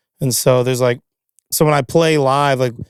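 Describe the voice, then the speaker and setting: A voice with a Kentucky accent, dry and close with no echo. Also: man. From Kentucky, Louisville. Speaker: singer-songwriter and guitarist. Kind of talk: casual chat. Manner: animated.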